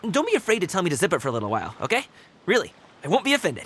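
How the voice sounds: Using a put-on character voice, a man races along at a very fast pace, his high pitch making very wide swings in a fairly bright tone.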